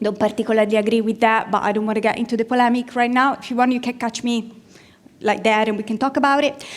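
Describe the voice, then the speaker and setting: A woman with an Italian accent talks very fast in a fairly high voice. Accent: Italian accent, rolled R's. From Italy. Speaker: product marketing manager, conference speaker. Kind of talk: conference talk. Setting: stage with audience. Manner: animated.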